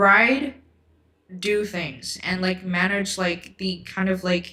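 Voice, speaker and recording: A woman talks at a very slow pace. Her tone is bright and sharp. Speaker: book YouTuber. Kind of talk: livestream book chat. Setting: livestream. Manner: halting, stuttering; casual, filler-heavy.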